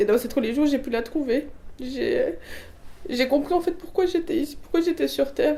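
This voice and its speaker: The intonation is lively. The pace is moderate. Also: woman. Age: 20s. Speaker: religious convert. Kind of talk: testimony. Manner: halting, many fillers and restarts.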